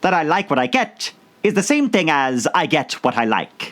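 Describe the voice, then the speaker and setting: This man uses a put-on character voice. His pitch sits fairly high. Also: moderate pace. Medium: read story.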